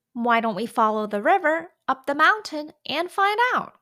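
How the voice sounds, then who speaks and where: Very wide pitch swings in a put-on character voice. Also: woman, high pitch for a woman, moderate pace. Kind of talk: children's storytelling. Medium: read story. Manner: eager, lively.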